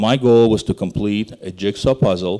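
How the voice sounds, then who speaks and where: A man's dark, mellow tone with fairly even intonation. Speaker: investment banker. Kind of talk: conference presentation. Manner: fast.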